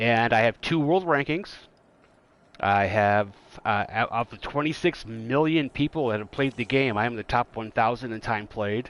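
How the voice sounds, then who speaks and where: An unremarkable speaking voice belongs to this man. He talks at a moderate pace with lively intonation. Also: dry, close sound with no echo, quiet background. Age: 50s. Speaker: gaming podcast host. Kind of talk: casual chat.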